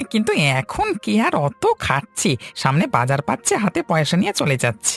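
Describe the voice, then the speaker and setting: A put-on character voice at middle pitch moves at a moderate pace over faint music in the background. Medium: short film. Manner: earnest, plain-spoken.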